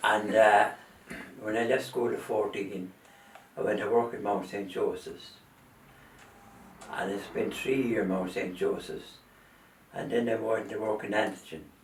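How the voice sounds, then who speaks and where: A man with an Irish Midlands accent talks at a fairly slow pace with long, frequent pauses, over noticeable background noise and audible room echo. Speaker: retired factory worker. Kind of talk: oral history interview.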